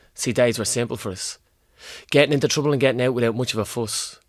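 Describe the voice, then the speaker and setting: A man talks at a very fast pace. His pitch is medium, with ordinary variation. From Ireland, Dublin inner city. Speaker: spoken word poet. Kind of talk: poetry performance; casual interview chat.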